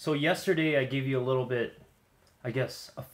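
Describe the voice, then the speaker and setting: The speaker is a man. He has a medium-pitched voice. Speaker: vlogger. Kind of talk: casual talk to camera. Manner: hesitant, many fillers.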